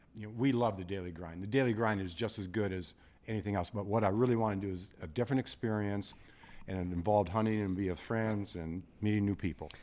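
Very fast talking comes from a man with a slight Midwestern US accent. His fairly low voice has a dark, mellow tone and fairly even intonation. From South Dakota. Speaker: retired guest hunter. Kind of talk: casual chat. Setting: studio.

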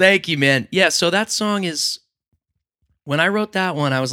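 With an American accent, a man talks at a fairly quick pace in a bright, sharp tone. His intonation is lively, and the sound is dry and close with no echo. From New York. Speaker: musician. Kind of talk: casual chat.

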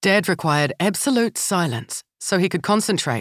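Her voice is a plain, everyday voice with lively intonation at a moderate pace, recorded very cleanly against a silent background with a dry, close sound and no echo. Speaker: audiobook narrator. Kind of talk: audiobook narration, literary reading of a memoir. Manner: measured, warm storytelling pace.

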